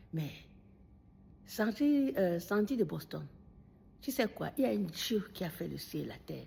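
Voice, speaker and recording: A woman talks at a fairly slow pace with long, frequent pauses. The recording is very clean, with a silent background. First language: Bamileke (Bafang or Baham) (speaking French). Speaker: video commentator. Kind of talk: monologue addressing a critic. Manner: animated.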